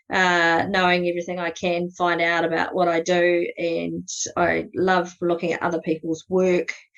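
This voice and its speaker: With a New Zealand accent, a woman speaks at a moderate pace in a fairly low pitch and a monotone, flat intonation. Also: hardly any pauses. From New Zealand, South Canterbury. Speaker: astrophotography guide. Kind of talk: podcast interview. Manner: casual, many fillers.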